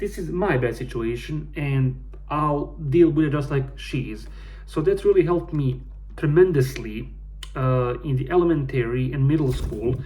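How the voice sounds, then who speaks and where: Male speech at a moderate pace, audible room echo, noticeable background noise. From Bosnia. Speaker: gaming YouTuber. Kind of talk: casual personal vlog. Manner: halting.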